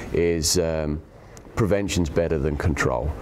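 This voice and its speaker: A man with an English accent and a very deep, low pitch is heard against noticeable background noise. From England. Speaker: agronomist. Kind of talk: interview answer.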